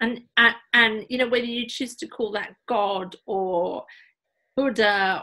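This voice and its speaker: In a British accent, the speaker talks at a fairly slow pace with a bright, sharp tone and ordinary pitch variation on a very clean recording with a silent background. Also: woman. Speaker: podcast host. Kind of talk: podcast interview host talk.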